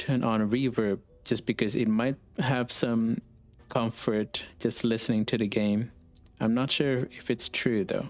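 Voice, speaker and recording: Keeping his loudness very even, a man with a non-native accent talks at a medium pitch with fairly even intonation. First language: not English. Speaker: vtuber streamer. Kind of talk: live gaming stream chat.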